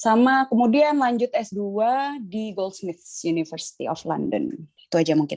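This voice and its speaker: Her fairly high voice swings very widely in pitch as this woman speaks at a moderate pace. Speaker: lecturer and artistic director. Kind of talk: casual interview.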